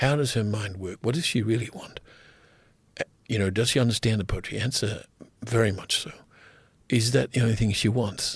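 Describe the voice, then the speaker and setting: Somewhat breathy and in an Australian accent, the speaker moves at a fairly quick pace with ordinary pitch variation, broken by long, frequent pauses. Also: man, medium pitch for a man. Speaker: writer and poet. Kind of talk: podcast interview. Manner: hesitant, many filler words.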